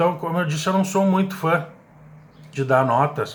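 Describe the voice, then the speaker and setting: A man uses a normal speaking voice at a moderate pace. His pitch variation is ordinary. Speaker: radio sports commentator. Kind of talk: radio sports commentary.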